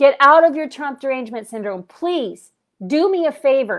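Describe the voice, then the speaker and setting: In a very clean recording with a silent background, a woman speaks at a high pitch and fairly slow pace. Her intonation is lively. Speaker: spiritual vlogger. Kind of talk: livestream rant. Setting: livestream. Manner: loud; animated.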